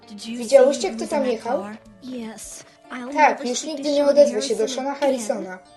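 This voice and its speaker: Music plays behind a woman speaking at a moderate pace with a high pitch and ordinary pitch variation. Her loudness swings widely, and she leaves long, frequent pauses. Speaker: fan voice-over performer (lektor). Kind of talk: Polish voice-over reading of a translated cartoon (szeptanka).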